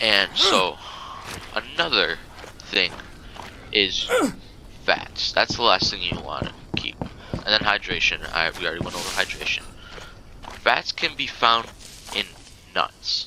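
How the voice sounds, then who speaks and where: The speaker is soft-spoken and goes at a fairly slow pace with long, frequent pauses, over noticeable background noise. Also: man. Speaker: gaming youtuber. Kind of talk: tutorial. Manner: casual, halting.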